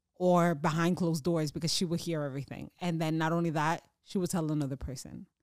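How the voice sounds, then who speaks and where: A woman with an American accent speaks in an ordinary speaking voice at a fairly quick pace, her fairly low pitch and fairly even intonation captured in a very clean recording with a silent background and a dry, close sound with no echo. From US, raised from infancy; Dominican family. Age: 30s. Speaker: podcast co-host, accountant and business owner. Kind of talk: casual chat.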